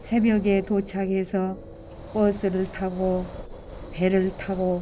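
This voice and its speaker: Over noticeable background noise, a woman at medium pitch speaks at a very slow pace in a monotone with flat intonation. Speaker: adult literacy learner. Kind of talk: personal essay reading.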